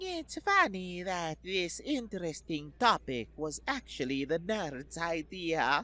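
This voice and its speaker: Using a put-on character voice, a woman talks fairly slowly at a fairly low pitch with lively intonation. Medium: read story. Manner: languid, smirking.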